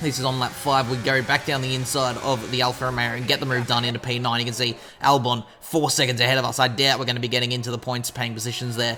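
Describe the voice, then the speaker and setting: A man's medium-pitched voice at a very fast clip, hardly any pauses, over noticeable background noise. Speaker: gaming youtuber. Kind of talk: game commentary. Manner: animated.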